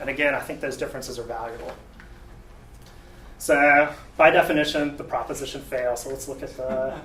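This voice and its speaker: In a Southern US accent, a man with a fairly high voice speaks at a fairly quick pace with fairly even intonation, big swings in loudness and long, frequent pauses, amid audible room echo and noticeable background noise. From US South. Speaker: software developer, debate speaker. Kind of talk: tech talk debate presentation. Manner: casual, halting with fillers.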